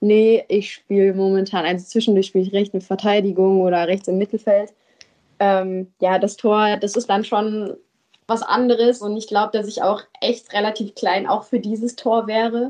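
A woman's medium-pitched voice has a dark, mellow tone. She talks in a flat monotone at a moderate pace. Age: 20s. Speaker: amateur footballer and former ice hockey goalie. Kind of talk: casual interview. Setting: podcast studio in Düsseldorf.

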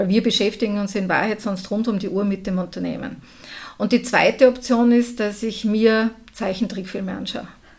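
Somewhat breathy, a woman speaks at a moderate pace and fairly high pitch with fairly even intonation. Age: 50s. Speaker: entrepreneur. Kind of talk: interview.

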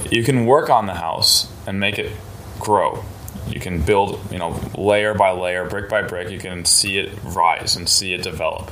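At a moderate pace, a man with a fairly low pitch talks over noticeable background noise, with audible room echo. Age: 20s. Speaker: powerlifting coach. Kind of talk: casual interview.

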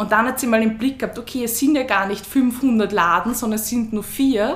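A woman speaks at a moderate pace in a fairly high pitch with fairly even intonation. Audible room echo and noticeable background noise surround her voice. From Lower Austria, Gumpoldskirchen. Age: 20s. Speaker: female empowerment coach and breathing trainer. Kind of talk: interview.

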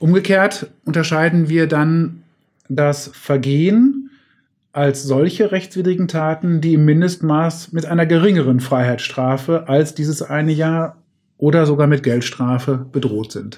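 Speaking with a plain, everyday voice, a man keeps a fairly slow pace, a fairly high pitch and ordinary pitch variation. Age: 40s. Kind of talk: expert interview.

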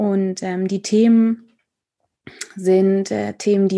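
A woman's dark, mellow voice in a monotone, flat delivery over a quiet background. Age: 30s. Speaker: theatre director and author. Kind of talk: casual chat. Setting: video call.

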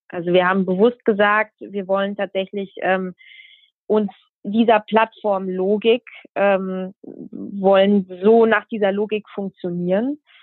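A woman talks at a very slow pace and medium pitch, with ordinary pitch variation. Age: 20s. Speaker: journalist. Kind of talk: interview.

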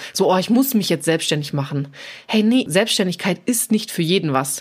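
Here a woman of medium pitch speaks at a moderate pace, her voice swinging very widely up and down. The recording is very clean, with a silent background. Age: 20s. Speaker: self-employed fitness trainer, former baking blogger. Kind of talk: casual interview chat.

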